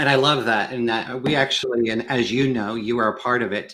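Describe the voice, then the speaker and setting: In a very clean recording with a silent background, a man with an American accent talks at a fairly quick pace, his tone bright and sharp and his intonation fairly even. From US Midwest, Kansas. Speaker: sales consultant with a doctorate. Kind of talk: panel discussion on a live show.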